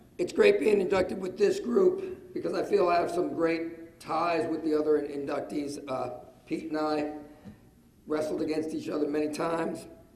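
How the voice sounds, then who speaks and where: With audible room echo and noticeable background noise, a man talks at a moderate pace in a fairly high pitch with fairly even intonation. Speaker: wrestling coach, hall of fame inductee. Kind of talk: acceptance speech.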